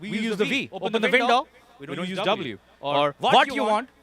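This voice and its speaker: A man's high-pitched, animated voice at a fairly quick pace, over noticeable background noise. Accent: South Asian. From Dubai, of Pakistani family. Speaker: stand-up comedian. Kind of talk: stand-up. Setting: drive-in show with audience in cars.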